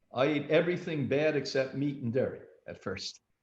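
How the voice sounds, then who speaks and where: Somewhat breathy and fairly high-pitched, a man speaks at a fairly quick pace. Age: 70s. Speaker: health institute director. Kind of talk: interview. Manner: animated.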